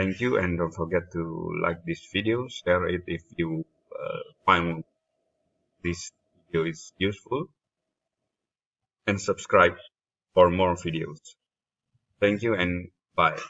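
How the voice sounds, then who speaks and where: A man with a non-native accent speaks with long, frequent pauses. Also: fairly slow pace. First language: not English. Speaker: spreadsheet tutorial creator. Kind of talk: tutorial. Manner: halting, many fillers.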